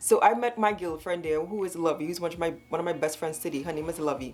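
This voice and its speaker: The woman's fairly low-pitched voice carries an animated tone. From Trinidad. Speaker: storytime vlogger. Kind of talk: storytelling monologue. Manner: fast.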